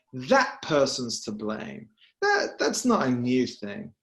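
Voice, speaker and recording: A man with a British accent talks at a moderate pace and a fairly high pitch. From England, Birmingham. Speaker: political journalist. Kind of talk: panel discussion.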